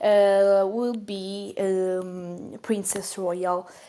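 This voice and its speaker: A woman with a non-native accent speaks on a very clean recording with a silent background. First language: not English. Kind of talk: casual talk to camera. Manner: hesitant, many fillers.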